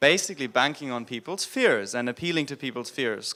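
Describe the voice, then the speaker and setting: A man's fairly high, bright, sharp voice with a German accent, lively intonation and a fairly quick pace. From Germany. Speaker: business consultant. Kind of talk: conference panel discussion.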